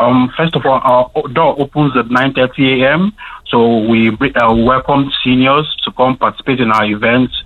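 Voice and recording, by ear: A man talks at a moderate pace in a medium pitch. His intonation stays fairly even.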